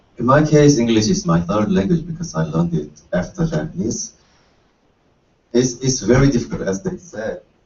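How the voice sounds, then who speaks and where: Vocal fry with very wide pitch swings. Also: man, medium pitch for a man, moderate pace. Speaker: university student. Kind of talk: panel discussion. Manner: halting.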